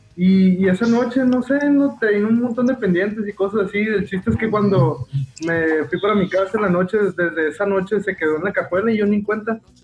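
A man with a high voice talks at a fairly quick pace, with ordinary pitch variation and very even loudness. Noticeable background noise is present. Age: 20s. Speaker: rock band bassist. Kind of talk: casual interview chat. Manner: halting, with frequent repetitions.

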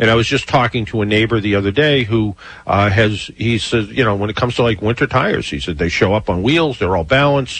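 At a very fast pace with hardly any pauses, a man with a fairly low pitch talks with ordinary pitch variation. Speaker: radio host, car expert. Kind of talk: radio call-in show. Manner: casual, filler-heavy.

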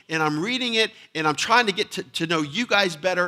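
Raised and projected, this man's voice sits high in pitch with a bright, sharp tone. He keeps a moderate pace and ordinary pitch variation. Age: 40s. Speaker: pastor. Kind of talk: sermon. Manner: repetitive, stammering restarts.

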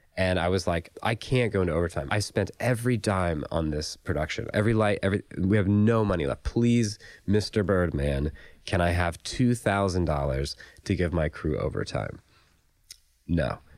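A man speaks with an American accent in a very deep, low pitch. His loudness stays very even on a very clean recording with a silent background. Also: ordinary pitch variation, moderate pace. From US South, Raleigh, North Carolina. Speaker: film and commercial producer. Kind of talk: casual interview chat.

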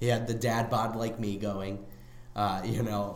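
In a room with audible echo and noticeable background noise, a man talks in a fairly low, monotone, flat voice. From Chicago, US Midwest. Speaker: comedy podcast host. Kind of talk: casual chat.

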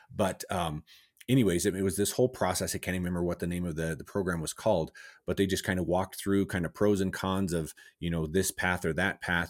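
A man with a General American accent and a very deep, low pitch, very fast in pace and fairly even in intonation, in a very clean recording with a silent background. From Southwest Colorado, US. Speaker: educator and business owner. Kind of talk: interview.

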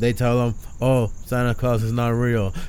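A man talks in a normal speaking voice at a medium pitch. His pace is fairly slow. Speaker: podcast host. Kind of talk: casual banter, rant podcast.

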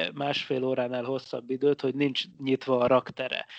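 Over a quiet background, an unremarkable speaking voice moves at a moderate pace. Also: man. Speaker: physicist, science podcast co-host. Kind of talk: casual chat. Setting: Skype call.

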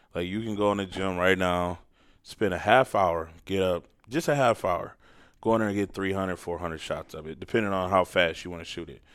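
On a very clean recording with a silent background, a man with an American accent and a very deep, low pitch talks at a fairly quick pace with ordinary pitch variation and big swings in loudness. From Port Huron, Michigan, US. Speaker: high school football coach. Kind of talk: casual interview.

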